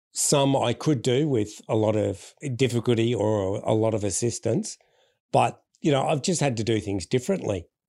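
Recorded very cleanly against a silent background, a man with an Australian accent talks at a moderate pace in a medium pitch and a dark, mellow tone with ordinary pitch variation. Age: 40s. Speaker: public speaker and former chef. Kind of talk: interview conversation.

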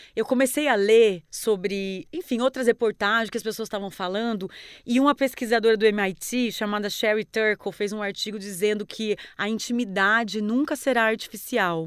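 A woman's plain, everyday voice, fairly high-pitched, at a moderate pace with hardly any pauses and ordinary pitch variation. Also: very clean recording, silent background. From Paraná, Brazil (interior, near Paraguay). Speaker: journalist. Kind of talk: casual interview.

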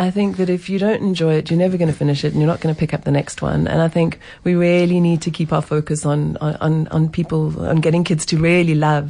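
A woman at a very fast pace, fairly low in pitch, with very even loudness and fairly even intonation. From South Africa. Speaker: writer and book reviewer. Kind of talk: radio discussion. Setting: studio.

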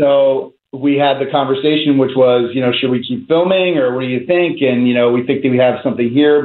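In an American accent, a man speaks at a very fast pace with medium pitch and fairly even intonation. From US Northeast, North Jersey. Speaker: documentary filmmaker. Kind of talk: interview.

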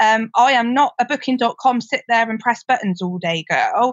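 In a West Country accent, a woman with a high pitch speaks at a moderate pace with very wide pitch swings. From Gloucestershire, England. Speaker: property investor and sourcer. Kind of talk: casual interview.

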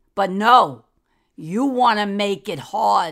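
With a New York accent and lively intonation, a woman speaks at a very slow pace on a very clean recording with a silent background. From New York City, Manhattan. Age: old. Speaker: host's grandmother, guest commentator. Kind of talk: angry rant. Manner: animated.

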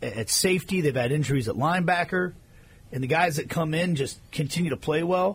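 A normal speaking voice from a man, fairly high-pitched and fairly quick, with ordinary pitch variation. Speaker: radio host. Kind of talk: sports talk radio show.

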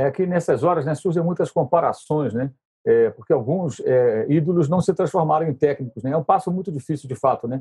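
Fairly quick in pace, a man talks in a dark, mellow tone at a fairly high pitch, with ordinary pitch variation. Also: dry, close sound with no echo. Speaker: sports journalist, interviewer. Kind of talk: interview.

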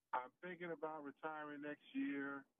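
This man has an unremarkable speaking voice, pitched fairly high. His intonation stays fairly even. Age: 60s. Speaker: caller. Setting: phone call.

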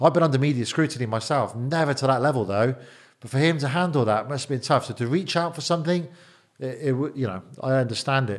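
A man speaks very fast with an English accent. His pitch is medium, with ordinary variation. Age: 40s. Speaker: bodyguard and businessman. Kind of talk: interview. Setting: studio.

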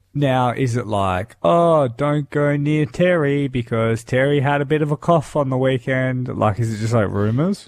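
Speaking with an Australian accent, this voice keeps a very even loudness and hardly pauses at all, over a quiet background. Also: man, medium pitch for a man, ordinary pitch variation, moderate pace. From Darwin, Australia. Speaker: radio host. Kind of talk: breakfast radio banter.

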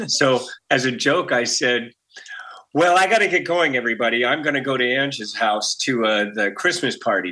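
In a normal speaking voice with an American accent, a man at medium pitch talks at a moderate pace with lively intonation and very even loudness. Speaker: musician. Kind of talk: interview. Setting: video call. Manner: jokey.

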